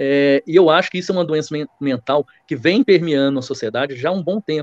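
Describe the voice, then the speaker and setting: With a Minas Gerais accent, a man talks at a fairly quick pace. His pitch is fairly high, with ordinary variation. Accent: Minas Gerais Brazilian Portuguese. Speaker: lawyer. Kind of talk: podcast debate opinion.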